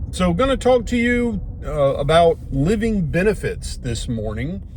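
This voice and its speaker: With an American accent, a man talks in a relaxed tone at a fairly slow pace. Noticeable background noise is present. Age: old. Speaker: retired bomb disposal officer turned financial services agent. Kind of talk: casual talk to camera, filmed in car. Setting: recorded inside a moving car. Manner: relaxed, conversational, rambling.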